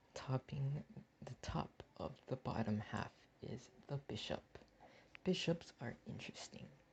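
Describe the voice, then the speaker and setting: Long, frequent pauses break up the whispering, which proceeds at a fairly slow pace. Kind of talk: comedic tier-list commentary. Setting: home recording without a proper mic. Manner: soft-spoken, quiet.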